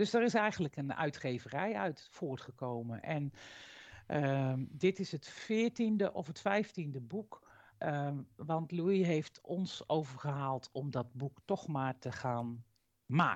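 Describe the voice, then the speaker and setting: The speaker moves at a very slow pace with very wide pitch swings. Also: woman, very deep, low pitch for a woman. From Utrecht, Netherlands. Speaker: education magazine editor-in-chief. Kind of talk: interview. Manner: halting.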